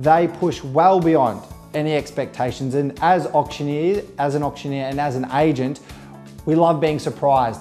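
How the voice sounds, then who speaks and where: A passionate man with an Australian accent, fairly high in pitch, his intonation fairly even, over faint music in the background. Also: moderate pace. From Inner-West (Australia). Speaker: auctioneer. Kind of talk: casual talk to camera, promotional profile interview. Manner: passionate, conversational. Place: home room. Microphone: lapel.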